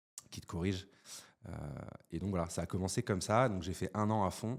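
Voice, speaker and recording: The man's voice is very deep and low. It varies in pitch in an ordinary way. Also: moderate pace. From France, Valence (Drôme). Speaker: entrepreneur. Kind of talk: casual chat. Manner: animated, many hesitations.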